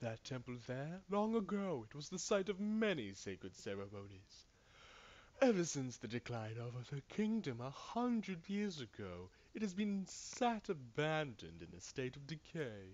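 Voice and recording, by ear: Putting on a wheezy character voice, a man speaks at a fairly high pitch with very wide pitch swings and a moderate pace.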